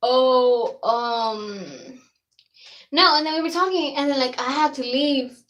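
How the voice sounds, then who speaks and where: Audible room echo surrounds a woman with a high pitch. She talks at a fairly slow pace with fairly even intonation. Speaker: vlogger. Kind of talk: casual storytelling. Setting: bathroom. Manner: halting.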